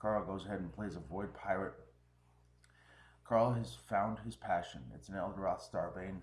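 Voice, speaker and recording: Moving at a moderate pace, a man with a fairly low pitch and vocal fry speaks with lively intonation and long, frequent pauses. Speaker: game commentator. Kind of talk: live commentary.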